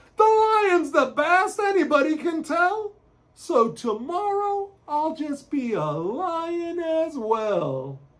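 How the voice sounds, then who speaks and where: In a put-on character voice, a man speaks very slowly, raised and projected at an extremely high pitch. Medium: read story.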